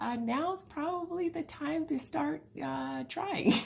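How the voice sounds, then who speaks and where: At a fairly slow pace, a woman speaks in a dark, mellow, somewhat breathy tone. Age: 30s. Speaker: vlogger. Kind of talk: casual vlog. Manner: hesitant, many fillers.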